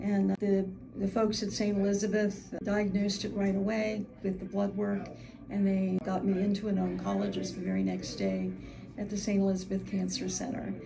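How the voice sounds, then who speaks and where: Noticeable background noise and audible room echo surround a woman talking at a moderate pace. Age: 70s. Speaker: Medicare agent. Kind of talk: testimony.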